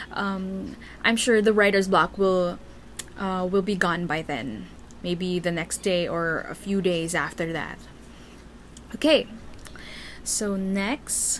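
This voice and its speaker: A woman with a Filipino accent speaks at a very slow pace, with long, frequent pauses. Her pitch is medium and varies in an ordinary way. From Philippines. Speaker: Tumblr writer and vlogger. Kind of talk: casual Q&A vlog. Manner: hesitant, many fillers.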